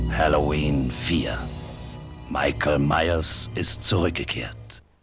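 A man's very deep, low voice at a very slow pace, with ordinary pitch variation, a dry sound with no echo, and clear music in the background. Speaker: voice actor. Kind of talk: movie trailer. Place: booth.

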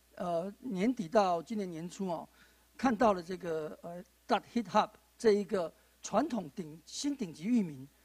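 At a moderate pace, a man with a Taiwanese accent speaks at a high pitch with lively intonation. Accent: Taiwanese Mandarin. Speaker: panel moderator, judge and law lecturer; panel moderator, judge, law lecturer. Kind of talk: panel moderation. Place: studio. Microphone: handheld.

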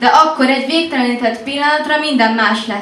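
Quiet and high-pitched, a woman talks at a moderate pace with ordinary pitch variation, audible room echo and light background noise. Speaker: slam poet. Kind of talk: slam poetry performance, intimate confessional love poem. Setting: stage with audience. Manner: hushed, intimate, teasing, building rhythmically with repeated 'what if' lines. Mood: intimate, expressive. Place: cafe.

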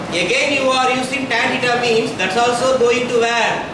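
Audible room echo and noticeable background noise surround speech delivered at a moderate pace. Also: man. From India, Tamil Nadu. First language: Tamil. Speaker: guest lecturer in mathematics. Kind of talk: lecture. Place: classroom. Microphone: camera far.

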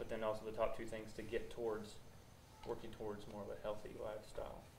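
Through noticeable background noise, a man talks at a fairly quick pace. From rural farm upbringing. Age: 20s. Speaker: audience member. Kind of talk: question from audience.

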